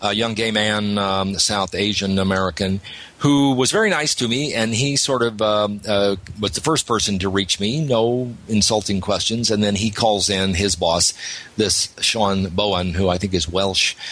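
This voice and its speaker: The man speaks at a moderate pace with a fairly low pitch, ordinary pitch variation and very even loudness. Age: 60s. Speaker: journalist. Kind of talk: radio interview. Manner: animated.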